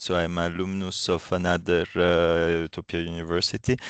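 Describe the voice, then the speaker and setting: At a moderate pace, a man speaks in a very deep, low pitch, with a dry, close sound with no echo and a quiet background. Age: 30s. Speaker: university staff. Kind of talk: self-introduction. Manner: hesitant, many fillers.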